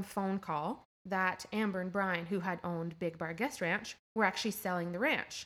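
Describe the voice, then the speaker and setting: With a Canadian accent, a woman uses a normal speaking voice at medium pitch and a fairly slow pace. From eastern Ontario, near Cornwall. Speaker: hotel manager. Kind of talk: interview conversation. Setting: hotel games room.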